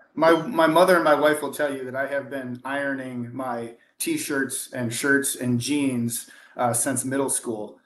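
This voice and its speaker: This man has an ordinary speaking voice, fairly high in pitch, with fairly even intonation and a moderate pace. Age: 40s. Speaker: auto industry consultant. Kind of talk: casual chat.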